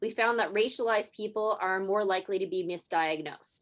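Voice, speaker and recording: A woman with a plain, everyday voice and a Canadian accent speaks at a fairly quick pace and medium pitch, with lively intonation against a quiet background. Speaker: marketing strategist presenter. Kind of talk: presentation.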